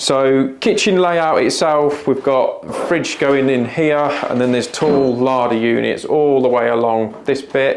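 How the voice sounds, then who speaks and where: Against light background noise, a man speaks at a fairly slow pace with ordinary pitch variation. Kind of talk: tutorial walkthrough. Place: kitchen. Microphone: phone near.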